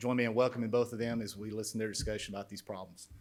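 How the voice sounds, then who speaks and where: A man's monotone voice with flat intonation and an Alabama accent. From central Alabama, Shelby County. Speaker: former Air Force pilot, manufacturing businessman. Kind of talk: introductory speech. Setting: conference stage with audience.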